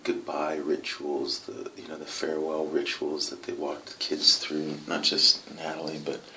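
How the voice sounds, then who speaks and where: A soft-spoken man talks at a fairly slow pace. There is noticeable background noise. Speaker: adoptive parent video diarist. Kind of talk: video diary. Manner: hesitant, many fillers.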